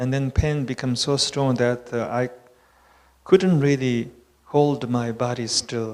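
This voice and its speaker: In a Tibetan accent, a man of medium pitch speaks at a fairly slow pace with monotone, flat intonation. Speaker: Buddhist teacher. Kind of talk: conversation. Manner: halting.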